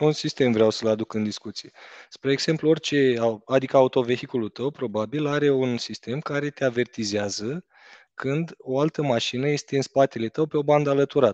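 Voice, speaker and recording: A man at a moderate pace with ordinary pitch variation, over a quiet background, in a dry sound with no echo. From Romania. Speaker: entrepreneur, driving school co-owner; guest. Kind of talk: casual chat. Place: office. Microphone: headset.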